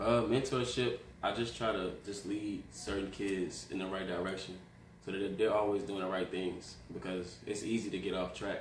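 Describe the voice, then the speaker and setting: A man speaks at a moderate pace with ordinary pitch variation. There is noticeable background noise and audible room echo. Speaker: basketball coach and mentor. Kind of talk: interview. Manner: quiet.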